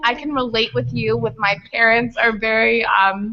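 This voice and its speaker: A woman with an American accent, fairly high in pitch, at a moderate pace with ordinary pitch variation. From Italy (Venice) and Connecticut, US. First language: Italian. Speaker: college student mentor. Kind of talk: casual chat.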